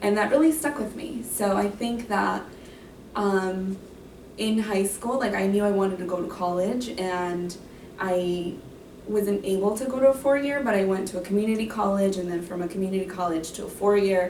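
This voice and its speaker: With a Spanish accent, a woman speaks at a moderate pace amid audible room echo and noticeable background noise. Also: medium pitch for a woman, ordinary pitch variation. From Mexico. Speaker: graduate counseling student. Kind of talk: interview Q&A.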